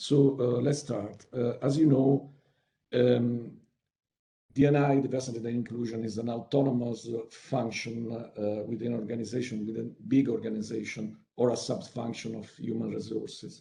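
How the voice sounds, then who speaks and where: Here a man talks at a medium pitch with fairly even intonation. His voice is somewhat breathy. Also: moderate pace. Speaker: webinar speaker on workplace inclusion. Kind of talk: online presentation. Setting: video call. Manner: halting, many fillers and repetitions.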